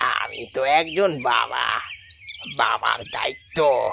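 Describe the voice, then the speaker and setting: A cartoonish character voice drags along at a very slow pace. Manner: gentle, tender.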